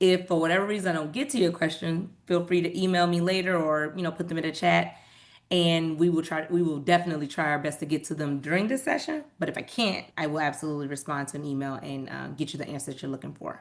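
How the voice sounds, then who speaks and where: A woman's very fast speech, fairly low in pitch with ordinary pitch variation, over a quiet background. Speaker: nonprofit program staff presenter. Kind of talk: webinar presentation. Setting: video call.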